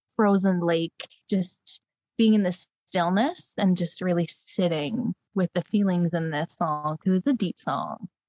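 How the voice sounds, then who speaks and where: Speaking at a moderate pace with a Canadian accent, a woman has a fairly low pitch and a dark, mellow tone in a dry, close sound with no echo. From Canada, northern Ontario (Sudbury). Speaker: podcast guest, fan. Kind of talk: casual chat.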